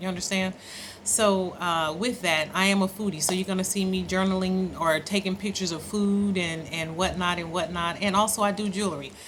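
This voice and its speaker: With fairly even intonation and an American accent, a woman speaks fairly quickly amid noticeable background noise and audible room echo. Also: medium pitch for a woman. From Oakland, California. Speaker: travel vlogger. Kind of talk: casual vlog monologue. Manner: casual, conversational, frequent fillers.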